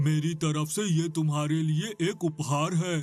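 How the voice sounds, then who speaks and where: A man puts on a cartoonish character voice at a fairly high pitch and moderate pace. Faint music plays in the background. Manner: friendly, earnest.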